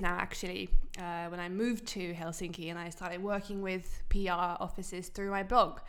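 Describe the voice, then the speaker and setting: A woman's medium-pitched voice, fairly even in intonation, with audible room echo. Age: 20s. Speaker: blogger and digital creator. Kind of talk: interview. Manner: halting, many fillers and repeats.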